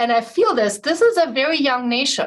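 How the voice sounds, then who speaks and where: A woman is speaking. She has a German accent. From Germany. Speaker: physician panelist. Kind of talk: panel discussion.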